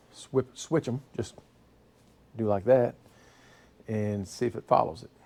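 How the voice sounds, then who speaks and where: A man's medium-pitched, dark, mellow voice at a fairly slow pace, with ordinary pitch variation and big swings in loudness. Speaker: car mechanic youtuber. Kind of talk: tutorial.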